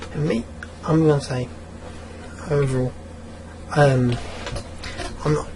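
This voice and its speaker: A man speaks quietly at a medium pitch and a fairly quick pace. Audible room echo and noticeable background noise are present. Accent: English. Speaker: gaming YouTuber. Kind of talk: rant. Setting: at home late at night. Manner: speaking quietly; animated. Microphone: audio too quiet.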